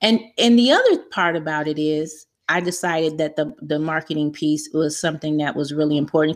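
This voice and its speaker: This woman has a normal speaking voice and an American accent, and she speaks at a moderate pace. The recording is very clean, with a silent background. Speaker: online marketing specialist. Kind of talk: interview.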